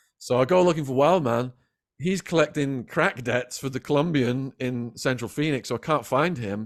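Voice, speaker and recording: On a very clean recording with a silent background, a man speaks with an English accent. His tone is animated, his pace moderate and his pitch variation ordinary. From England. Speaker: former drug dealer turned author. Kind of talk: storytelling interview.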